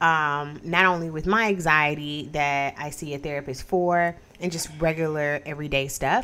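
At a moderate pace and with hardly any pauses, a woman speaks in a very deep, low pitch with a bright, sharp tone and fairly even intonation. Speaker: podcast host. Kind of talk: casual chat.

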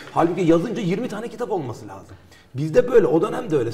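A man rushes along at a very fast pace in a high pitch, with noticeable background noise behind him. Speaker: historian. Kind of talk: interview. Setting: studio.

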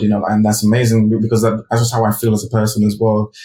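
Speaking very fast in a flat monotone, a man has a fairly low, dark, mellow voice that is somewhat breathy. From UK, raised from age four or five after birth in Ghana. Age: 30s. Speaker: designer and creative director. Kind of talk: interview. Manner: filler-heavy, casual.

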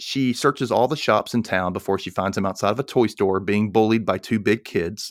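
Ordinary pitch variation across an unforced reading voice.

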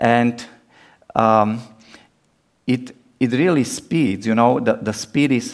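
Speaking at a very slow pace with a non-native accent, a man keeps a medium pitch and fairly even intonation. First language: Czech. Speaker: missionary preacher. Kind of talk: sermon. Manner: halting with many fillers.

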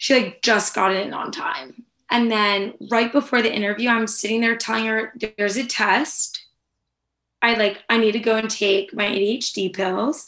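With an American accent, a woman talks at a moderate pace in a fairly high pitch. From California. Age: 20s. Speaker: former military spokesperson staffer. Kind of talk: casual chat. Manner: animated.

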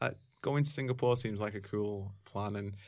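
A man speaks with a Mancunian accent. His pitch is fairly low. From Manchester, England. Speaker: martial arts video site creator. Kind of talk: casual interview chat. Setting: studio.

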